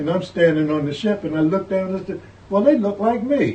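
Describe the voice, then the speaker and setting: At a fairly quick pace, a man talks in an American accent. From northern US, Philadelphia and New York. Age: 80s+. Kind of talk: oral history interview.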